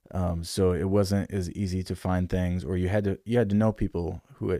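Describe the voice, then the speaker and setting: A man with an American accent, fairly low in pitch, with a dark, mellow tone. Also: very clean recording, silent background. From Michigan, US. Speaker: musician and record producer. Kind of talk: casual interview chat. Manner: hesitant, many fillers.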